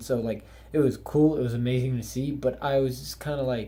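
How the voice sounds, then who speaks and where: Here a man speaks at a moderate pace and medium pitch, his intonation fairly even. His tone is dark and mellow, and somewhat breathy. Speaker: anime reviewer. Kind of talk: casual video review. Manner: monotone.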